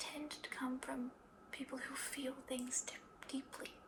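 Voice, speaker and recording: Whispering in a gentle, calm tone at a fairly slow pace, over noticeable background noise. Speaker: ASMR creator playing a psychologist. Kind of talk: ASMR therapy roleplay, soft-spoken personal attention. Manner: soft-spoken, gentle, calm.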